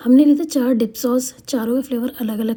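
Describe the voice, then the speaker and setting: Fairly even intonation at a moderate pace. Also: woman. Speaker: vlogger. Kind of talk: vlog voiceover narration. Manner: casual, hesitant.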